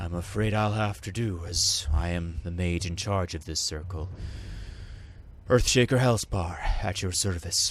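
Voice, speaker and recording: A man speaks in a put-on character voice with a very deep, low pitch at a moderate pace, with clear background noise behind him. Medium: game stream. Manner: formal, old-fashioned.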